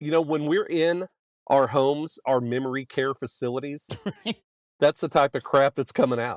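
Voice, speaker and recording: In a dry, close sound with no echo and a quiet background, a man with an ordinary speaking voice talks at a moderate pace, fairly high in pitch and fairly even in intonation. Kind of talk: casual podcast conversation.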